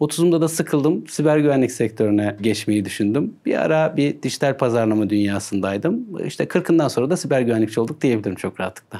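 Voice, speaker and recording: This man talks at a very fast pace with hardly any pauses. His medium-pitched voice has a dark, mellow tone and lively intonation. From Erzurum, eastern Turkey. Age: 40s. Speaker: cybersecurity expert. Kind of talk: interview.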